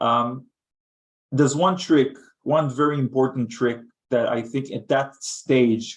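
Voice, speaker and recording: Speaking at a fairly slow pace with long, frequent pauses, a man with a non-native accent uses a medium pitch. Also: fairly even intonation. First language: not English. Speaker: head of thought leadership. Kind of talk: webinar panel discussion.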